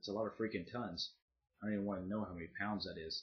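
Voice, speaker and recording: A man with an American accent. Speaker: YouTuber. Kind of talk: casual vlog monologue. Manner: casual, with filler pauses.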